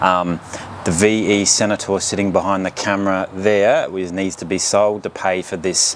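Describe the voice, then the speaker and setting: Noticeable background noise sits behind a man's fairly low voice. He talks at a moderate pace in a flat monotone. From England. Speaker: car YouTuber. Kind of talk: casual vlog talk to camera. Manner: hesitant, many fillers.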